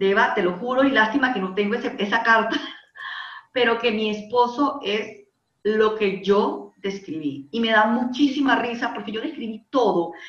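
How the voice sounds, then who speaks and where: A woman with a fairly high pitch talks at a fairly slow pace with ordinary pitch variation, amid audible room echo. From Panama. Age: 30s. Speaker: life coach and industrial engineer. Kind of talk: interview conversation.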